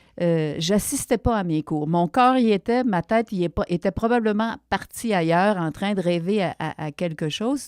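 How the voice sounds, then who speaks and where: A woman with a dark, mellow tone and lively intonation speaks at medium pitch on a very clean recording with a silent background and a dry, close sound with no echo. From Quebec, Abitibi. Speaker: television writer. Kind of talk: interview. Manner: halting, many hesitations.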